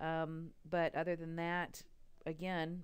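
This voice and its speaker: This woman has a fairly low pitch. She speaks in a Texas accent. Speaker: radiography instructor. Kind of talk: lecture. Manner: hesitant, frequent ums.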